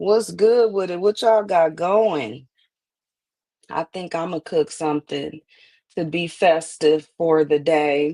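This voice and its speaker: A woman with a fairly low pitch and a dark, mellow tone talks at a very slow pace with ordinary pitch variation, the sound dry and close with no echo. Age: 20s. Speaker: livestream commentary host. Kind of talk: casual live stream chat.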